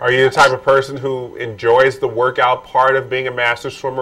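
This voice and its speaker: A man with an unremarkable speaking voice. His pitch sits at a medium level and he talks at a fairly quick pace. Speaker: talk show host. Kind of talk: interview questions.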